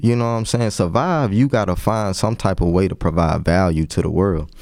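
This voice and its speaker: With a plain, everyday voice, a man speaks at a moderate pace with lively intonation. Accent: American. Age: 30s. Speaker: entrepreneur. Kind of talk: casual chat.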